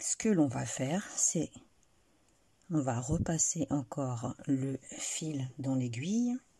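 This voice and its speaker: A soft-spoken woman with a very deep, low pitch talks at a very slow pace with long, frequent pauses, her dark, mellow tone somewhat breathy and her pitch varying in an ordinary way. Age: 40s. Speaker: crochet tutorial creator. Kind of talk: tutorial.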